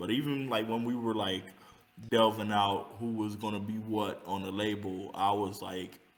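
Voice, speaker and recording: In an American accent, a man with a fairly low pitch speaks at a moderate pace in monotone, flat intonation, with audible room echo. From California. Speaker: rapper. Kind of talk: interview. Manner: halting.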